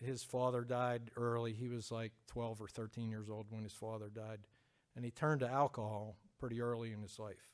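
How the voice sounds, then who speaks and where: A man with a Pennsylvania accent talks at medium pitch and a moderate pace. His intonation is monotone and flat. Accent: Pennsylvania American. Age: 50s. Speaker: church member giving testimony. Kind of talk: testimony. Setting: church with congregation. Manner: hesitant.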